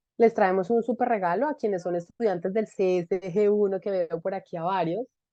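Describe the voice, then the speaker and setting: This woman has an unremarkable speaking voice of medium pitch. Her pitch variation is ordinary. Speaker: webinar host of a leadership institute. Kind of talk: online conversation, welcome remarks.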